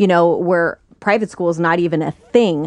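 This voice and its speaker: A woman's normal speaking voice, fairly low in pitch, with fairly even intonation and an American accent, at a moderate pace over a quiet background. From US small town. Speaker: model. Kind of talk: casual chat. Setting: studio.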